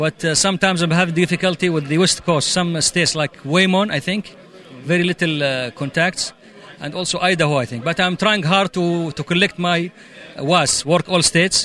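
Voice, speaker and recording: Against noticeable background noise, a man with a high voice speaks at a moderate pace with fairly even intonation. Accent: Arabic. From Saudi Arabia. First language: Arabic. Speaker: amateur radio operator. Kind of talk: interview at convention.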